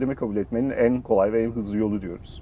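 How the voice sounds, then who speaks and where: A man talking at a very fast pace. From Germany. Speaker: startup founder and CEO. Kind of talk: interview.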